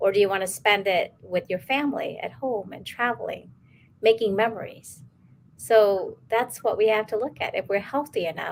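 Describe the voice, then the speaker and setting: Here is a woman with an unremarkable speaking voice at a medium pitch. Her pace is moderate, with ordinary pitch variation. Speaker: pediatric doctor. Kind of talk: interview.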